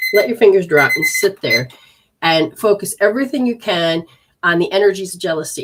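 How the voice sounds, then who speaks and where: A woman's plain, everyday voice at medium pitch, with ordinary pitch variation and a fairly quick pace. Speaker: energy healer and intuitive reader. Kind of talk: live-streamed healing session and readings. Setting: live stream.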